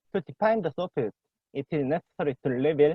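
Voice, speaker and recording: A man with a Korean accent talks at a moderate pace and a fairly high pitch. His voice makes very wide pitch swings. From South Korea. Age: young. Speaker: PhD student presenting a paper. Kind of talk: academic paper reading; casual chat. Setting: video call.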